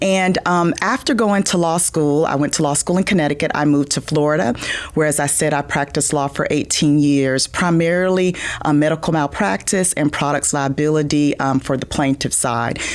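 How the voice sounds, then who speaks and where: A woman with a South Georgia accent and a very deep, low voice, talking fairly quickly with ordinary pitch variation amid noticeable background noise. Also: very even loudness. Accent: Southern (South Georgia). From US South, small-town South Georgia. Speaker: business association president, former lawyer. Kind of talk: podcast interview.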